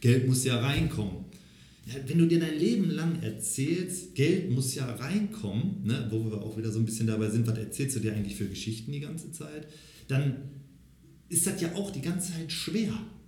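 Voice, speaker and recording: In a room with audible echo, a man with a fairly high pitch talks at a moderate pace, his pitch swinging very widely. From Lower Rhine region, Germany (near Xanten). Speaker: personality coach. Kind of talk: interview.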